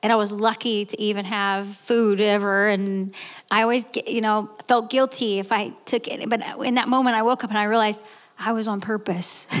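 A woman speaks at a moderate pace. Her tone is animated and her pitch fairly high. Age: 30s. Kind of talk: testimony.

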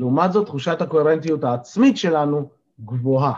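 A man's lively intonation over a quiet background. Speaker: life coach and morning zoom session leader. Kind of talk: motivational talk to online group. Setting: video call. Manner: energetic.

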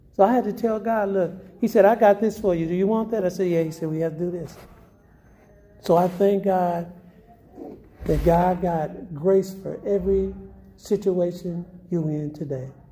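With music in the background, a man speaks at a moderate pace in a high voice, his intonation fairly even and his pauses long and frequent. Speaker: testimony giver. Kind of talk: testimony. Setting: homeless shelter.

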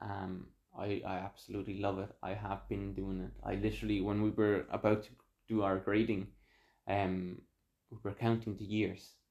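Fairly low male voice in an Irish accent, monotone and flat in intonation, against a quiet background. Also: moderate pace. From Mexico, moved to Ireland as a child. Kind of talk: casual chat.

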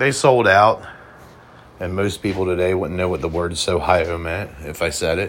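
A man speaks in an American accent with a very deep, low voice. He leaves long, frequent pauses. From Cincinnati area, Ohio. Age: 30s. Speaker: podcast host. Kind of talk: solo casual monologue. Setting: hotel room.

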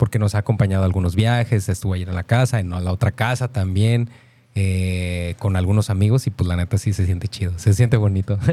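In a very clean recording with a silent background, a man speaks at a fairly quick pace. His fairly low voice is somewhat breathy, with a dark, mellow tone and fairly even intonation. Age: 30s. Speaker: radio co-host. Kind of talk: casual chat.

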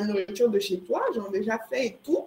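Here a woman talks at a moderate pace. Her pitch is fairly high. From Ivory Coast. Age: 20s. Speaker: entrepreneur. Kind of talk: interview.

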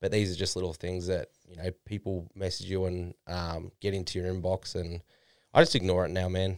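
A man with an Australian accent speaks in a very deep, low voice, monotone and flat, at a moderate pace with big swings in loudness. The recording is very clean, dry and close, with a silent background and no echo. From Australia, Melbourne. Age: 20s. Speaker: online fitness coach. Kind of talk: casual chat.

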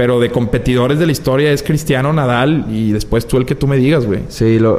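Noticeable background noise surrounds the recording. A man talks with fairly even intonation. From Mexico. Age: 20s. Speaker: media personality. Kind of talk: casual chat.

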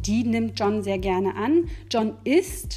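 Audible room echo surrounds a woman who speaks very slowly. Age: 20s. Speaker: student teacher. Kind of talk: lecture. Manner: halting.

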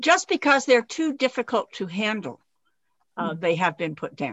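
Very wide pitch swings run through a woman's fairly high voice. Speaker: radio host. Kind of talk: interview.

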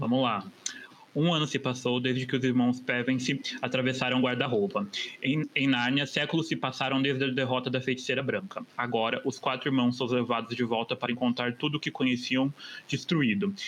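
At a fairly quick pace, a man with an unremarkable speaking voice talks at a medium pitch with fairly even intonation. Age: 30s. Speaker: advertising professional, podcast guest. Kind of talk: casual chat; reading aloud.

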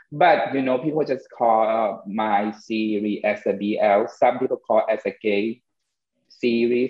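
A man speaks at a fairly slow pace in a Thai accent. His pitch varies in an ordinary way. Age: 30s. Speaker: podcast host and filmmaker. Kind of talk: casual chat.

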